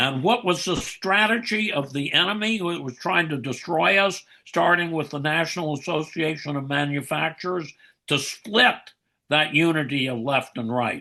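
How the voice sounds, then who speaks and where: Lively intonation and a bright, sharp tone mark this man's high-pitched voice at a moderate pace. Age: 80s+. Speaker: author. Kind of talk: podcast interview. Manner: animated.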